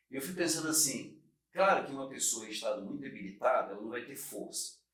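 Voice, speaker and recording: A man speaks with audible room echo. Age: 60s. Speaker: podcast host. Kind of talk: casual chat.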